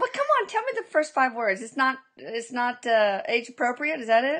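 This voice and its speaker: A woman talks at a moderate pace in an American accent, her pitch high with ordinary variation. The background is quiet. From Texas. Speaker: interviewer, bereaved mother. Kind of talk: interview.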